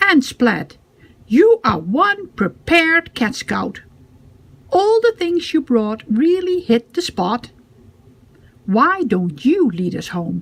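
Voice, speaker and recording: A cartoonish character voice from a woman, high-pitched with very wide pitch swings, very slow, with long, frequent pauses. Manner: encouraging.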